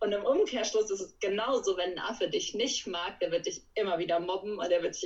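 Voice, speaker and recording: A woman talks at a very fast pace with fairly even intonation. Her pitch is medium. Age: 20s. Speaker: animal welfare worker for primates. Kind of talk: casual interview. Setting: video call.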